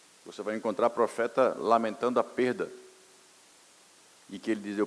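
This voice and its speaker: A man talks at a fairly quick pace. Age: 60s. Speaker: pastor. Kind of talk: sermon. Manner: animated.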